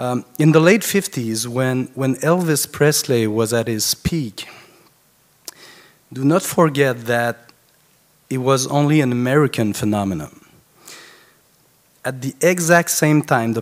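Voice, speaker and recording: A man speaks in a French accent at a fairly slow pace, with long, frequent pauses. His voice sits at a medium pitch with ordinary pitch variation. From France. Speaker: concert producer and biographer. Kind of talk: eulogy speech. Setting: funeral gathering. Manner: halting.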